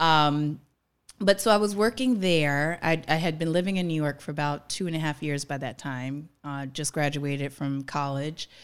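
A woman with a very deep, low pitch talks at a moderate pace. The recording is very clean, with a silent background. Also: ordinary pitch variation. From New Orleans, Louisiana. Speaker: actress. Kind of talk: casual interview.

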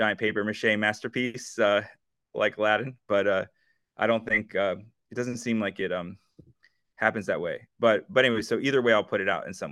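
Here a man talks at a fairly quick pace. His pitch is medium. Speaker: musician. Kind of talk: interview.

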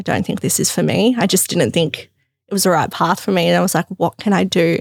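A woman with an Australian accent speaks at a very fast pace and medium pitch, with vocal fry. The recording is very clean, with a silent background and a dry, close sound with no echo. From Melbourne, Australia. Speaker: fashion business founder. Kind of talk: casual interview.

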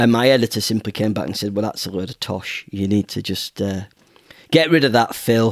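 A man in a northern English accent talks fairly quickly at a fairly low pitch, with ordinary pitch variation and a dry, close sound with no echo. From northern England. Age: 40s. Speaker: children's author. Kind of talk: interview. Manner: halting.

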